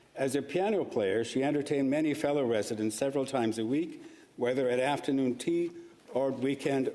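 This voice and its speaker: Noticeable background noise sits under speech that moves at a fairly quick pace, with ordinary pitch variation and very even loudness. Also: man. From Karachi, Pakistan, then Toronto from teens. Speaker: senator. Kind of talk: formal speech in legislative chamber. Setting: Senate chamber. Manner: formal.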